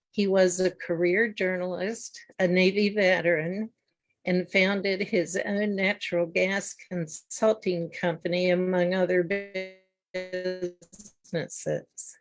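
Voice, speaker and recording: Music sits in the background. A woman speaks very slowly in a monotone, flat intonation. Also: medium pitch for a woman. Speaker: book interview host. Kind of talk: interview host intro.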